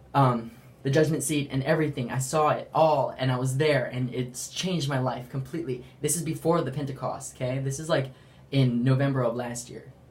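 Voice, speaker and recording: A man's voice with fairly even intonation and audible room echo. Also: medium pitch for a man, fairly quick pace. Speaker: religious vlogger. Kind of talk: testimony. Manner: fast; halting.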